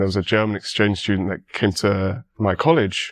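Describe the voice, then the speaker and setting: The recording is very clean with a silent background, and the speaker has a British accent. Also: man. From England. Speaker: university student. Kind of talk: podcast interview.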